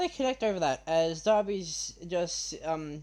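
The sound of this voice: The clip is an unforced reading voice with ordinary pitch variation.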